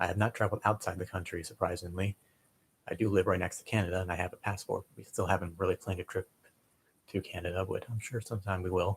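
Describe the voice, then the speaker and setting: A man's very deep, low, somewhat breathy voice in a monotone, flat intonation at a very fast pace, with a dry, close sound with no echo on a very clean recording with a silent background. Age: 20s. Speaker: streamer. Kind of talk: casual live stream chat. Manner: quiet, hesitant.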